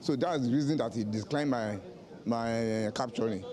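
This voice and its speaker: Amid noticeable background noise and audible room echo, a man speaks fairly quickly at a medium pitch with ordinary pitch variation. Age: 60s. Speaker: voter. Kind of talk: vox pop interview.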